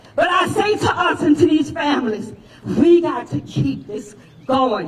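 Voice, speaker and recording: A man talks with an extremely high pitch and very wide pitch swings. Noticeable background noise and audible room echo accompany him. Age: 60s. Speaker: rally speaker. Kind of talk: rally speech.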